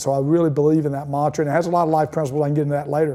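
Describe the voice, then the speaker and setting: Speaking in a Southern US accent, a man has a fairly high pitch and a dark, mellow tone. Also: very clean recording, silent background. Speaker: high school football coach. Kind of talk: interview. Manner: fast; animated.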